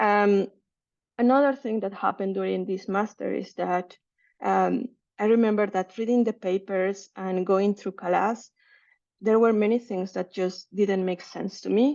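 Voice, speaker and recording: At a fairly slow pace, a woman with a Spanish accent speaks at medium pitch with fairly even intonation. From Mexico City, Mexico. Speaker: researcher. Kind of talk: seminar talk. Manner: halting, many fillers.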